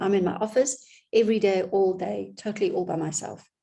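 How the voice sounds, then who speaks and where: A woman speaks at a medium pitch with vocal fry. Her tone is dark and mellow, and her pace is moderate. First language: not English. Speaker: business consultant. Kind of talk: vlog monologue. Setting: home office.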